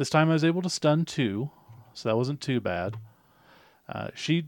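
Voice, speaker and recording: A man at a moderate pace with ordinary pitch variation, in a very clean recording with a silent background. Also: dry, close sound with no echo. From US, born in Spain to military family. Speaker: podcast co-host. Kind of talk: casual chat. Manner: animated.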